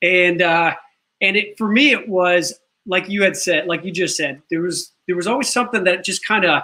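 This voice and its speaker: Speaking in a Chicago accent, the voice has a bright, sharp tone and ordinary pitch variation at a moderate pace. The recording is very clean, with a silent background. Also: man, high pitch for a man. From Chicago, South Side. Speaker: talk show host and actor. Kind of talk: talk show interview.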